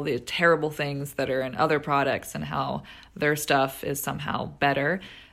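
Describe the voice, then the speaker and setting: In a very clean recording with a silent background, a woman speaks at a moderate pace with a very deep, low pitch and vocal fry. Her tone is bright and sharp, and her intonation is fairly even. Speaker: listener asking question. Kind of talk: recorded question.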